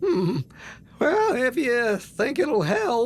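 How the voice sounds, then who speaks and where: In a put-on character voice, the speaker sounds nervous and uses a fairly high pitch. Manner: nervous, stammering.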